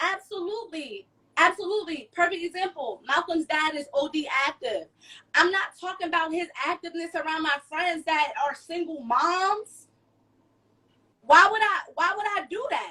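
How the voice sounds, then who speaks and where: A raised, projected voice with a bright, sharp tone speaks in an American accent. The pace is moderate and the pitch varies in an ordinary way. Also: woman, extremely high pitch for a woman. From Plainfield, New Jersey. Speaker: self-published author. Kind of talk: casual chat.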